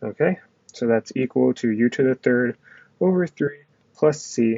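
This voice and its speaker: This man's voice sits at a medium pitch with ordinary pitch variation. His loudness stays very even throughout. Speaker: math tutor. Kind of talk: tutorial. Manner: fast; casual.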